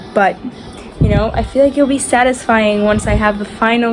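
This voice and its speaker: Speech moves at a moderate pace with fairly even intonation and a slight Spanish accent. Music plays in the background. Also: woman. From Argentina, Buenos Aires. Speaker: lifestyle vlogger. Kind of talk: casual vlog talk to camera. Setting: at home in bedroom. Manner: casual, filler-heavy.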